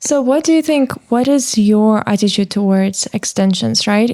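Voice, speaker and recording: A woman's fairly high voice, dark and mellow, with a non-native accent at a moderate pace. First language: not English. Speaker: podcast interviewer. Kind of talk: interview.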